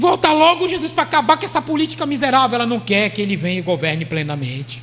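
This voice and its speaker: A man's extremely high-pitched voice at a very fast pace, with very wide pitch swings and noticeable background noise. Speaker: pastor. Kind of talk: sermon.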